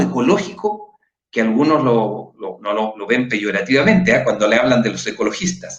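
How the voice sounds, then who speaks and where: Audible room echo follows a man whose pitch leaps very widely up and down. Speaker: political candidate and show host. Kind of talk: panel discussion. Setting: livestream.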